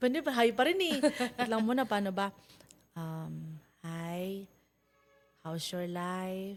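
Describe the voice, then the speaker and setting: A woman speaks very slowly in a medium pitch. She varies her pitch an ordinary amount. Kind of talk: casual chat; sales pitch. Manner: animated.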